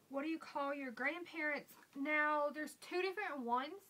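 Someone with a strong Southern US accent speaks at a moderate pace in a raised, projected voice. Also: woman. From US South. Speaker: beauty vlogger; vlogger. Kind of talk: casual vlog. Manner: casual, with fillers. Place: home room. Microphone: webcam.

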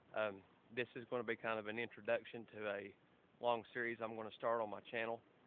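A man with a Southern US accent, medium-pitched, fairly quick and flat in a monotone, his sound dry with no echo. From southeast Tennessee. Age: 30s. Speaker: construction worker. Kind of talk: casual talk to camera. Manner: hesitant, casual. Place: garden. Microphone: phone near.

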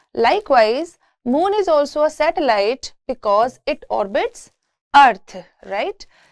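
The woman's voice is high, with very wide pitch swings. She speaks very slowly against a quiet background. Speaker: university lecturer. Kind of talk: lecture.

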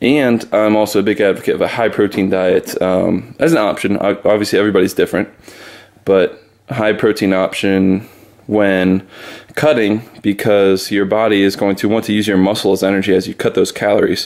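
Against a quiet background, a man with a fairly low pitch talks at a moderate pace in a plain, everyday voice, with fairly even intonation and very even loudness. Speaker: fitness vlogger. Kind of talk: casual vlog chat. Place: kitchen. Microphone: phone near.

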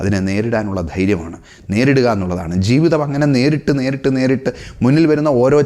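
Through noticeable background noise, a man speaks at medium pitch with lively intonation. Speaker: motivational speaker. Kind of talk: motivational talk.

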